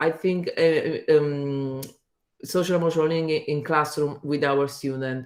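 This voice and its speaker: With an Italian accent, a woman speaks in a very deep, low pitch. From Italy. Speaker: teacher. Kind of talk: presentation. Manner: halting.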